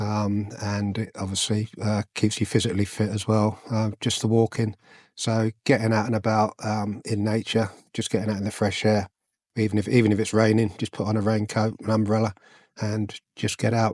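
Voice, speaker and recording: Fairly low-pitched man with an English accent and monotone, flat intonation. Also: moderate pace, dry, close sound with no echo, quiet background. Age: 60s. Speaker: vlogger, retired soldier and police officer. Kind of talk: casual vlog talk. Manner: hesitant, many fillers.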